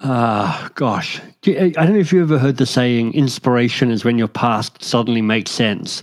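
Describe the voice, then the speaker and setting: At a moderate pace, a man with an Australian accent talks in a medium pitch, using lively intonation and very even loudness. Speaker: author and coach. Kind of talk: interview.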